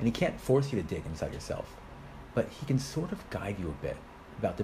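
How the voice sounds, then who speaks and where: A man speaks with very wide pitch swings over noticeable background noise, and the room echo is audible. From United States. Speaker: rabbi. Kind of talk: interview.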